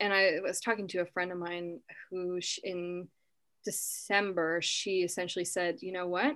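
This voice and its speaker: A woman with an unremarkable speaking voice talks at a moderate pace in a medium pitch, keeping her intonation fairly even. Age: 20s. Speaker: psychic medium. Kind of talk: casual chat.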